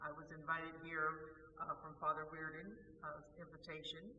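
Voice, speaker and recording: Speech at a moderate speed comes through with clearly audible background noise. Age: 70s. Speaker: longtime parishioner. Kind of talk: testimony.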